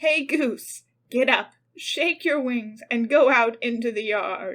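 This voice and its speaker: Someone puts on a character voice and speaks at a fairly slow pace. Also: woman, high pitch for a woman. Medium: read story.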